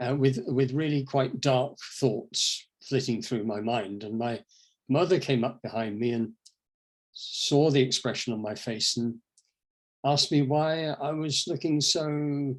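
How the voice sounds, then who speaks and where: The speech comes in an English accent at a fairly slow pace, with ordinary pitch variation. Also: man, medium pitch for a man. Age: 70s. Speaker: inspirational speaker. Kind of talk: talk. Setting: online event.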